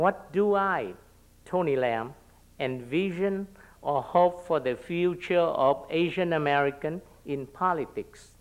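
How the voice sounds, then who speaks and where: A man speaks at a fairly slow pace with a Vietnamese accent, his voice high-pitched with ordinary pitch variation. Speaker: local elected official; panelist. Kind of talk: panel talk. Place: hall. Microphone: podium.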